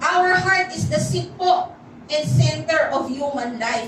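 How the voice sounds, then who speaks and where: A high-pitched woman's voice amid noticeable background noise and audible room echo. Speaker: pastor. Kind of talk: sermon.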